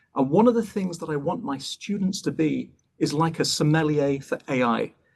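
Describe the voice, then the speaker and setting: A man speaks in a British accent at a moderate pace. His fairly high pitch moves with lively intonation. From England (Bath and London). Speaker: professor. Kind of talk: lecture. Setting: online webinar. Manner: brisk.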